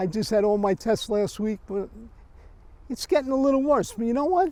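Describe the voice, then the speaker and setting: A man with a New York accent talks at a fairly quick pace in an extremely high pitch, with a dark, mellow tone and very wide pitch swings. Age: 80s+. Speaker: cemetery visitor interviewed. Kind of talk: casual interview.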